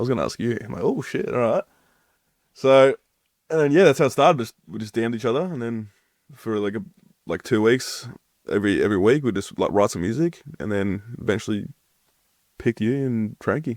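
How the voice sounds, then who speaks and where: A man with an Australian accent, medium-pitched and fairly quick, with lively intonation, long and frequent pauses, and a dry, close sound free of echo. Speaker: deathcore vocalist. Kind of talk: casual chat.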